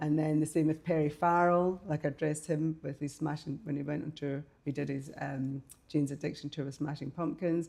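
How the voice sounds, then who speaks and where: A woman speaks with a Scottish accent and a very deep, low pitch. Her pace is fairly quick. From Scotland, Glasgow. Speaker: fashion designer and artist. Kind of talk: interview. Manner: animated.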